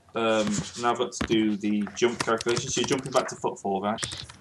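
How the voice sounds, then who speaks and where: Someone speaks at a moderate pace amid noticeable background noise. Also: man. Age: 20s. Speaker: game master of tabletop roleplaying game. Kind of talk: tabletop game session, casual.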